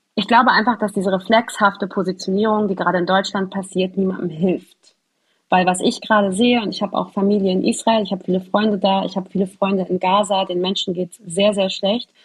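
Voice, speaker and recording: The speech comes at a very fast pace and is somewhat breathy. The intonation stays monotone and flat. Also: woman, medium pitch for a woman. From Hamburg, northern Germany. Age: young. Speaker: journalist reporting on Palestine. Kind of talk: conversational interview.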